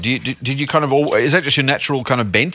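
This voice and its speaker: With an Australian accent, a man speaks at a very fast pace in a bright, sharp tone. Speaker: podcast host and investment officer. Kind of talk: podcast interview. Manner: casual, chatty with filler words.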